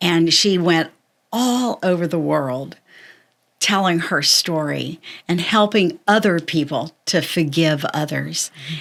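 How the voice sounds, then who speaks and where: An American accent marks this woman's ordinary speaking voice, fairly low in pitch with ordinary pitch variation and a fairly slow pace, in a very clean recording with a silent background. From Florida. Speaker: historical character actor. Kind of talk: interview answer.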